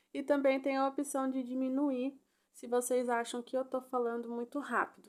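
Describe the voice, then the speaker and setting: Speaking at a moderate pace, a woman with a high voice sounds animated. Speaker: crochet instructor. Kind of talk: tutorial.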